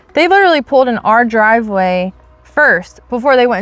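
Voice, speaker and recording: A woman's voice, dry and close with no echo, over music in the background. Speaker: faith channel co-host. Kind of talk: casual discussion. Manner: loud; fast.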